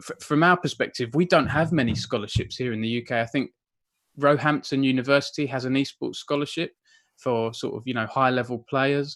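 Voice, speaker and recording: In a very clean recording with a silent background, a man with an Essex accent speaks at a fairly quick pace, his medium pitch showing ordinary variation. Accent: Southern Essex. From Essex, southern England. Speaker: esports journalist and interviewer. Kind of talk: interview.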